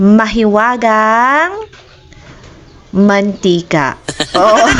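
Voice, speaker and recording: A woman talks with ordinary pitch variation while noticeable background noise fills the recording. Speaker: cooking vlogger. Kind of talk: casual cooking vlog. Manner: chatty, informal.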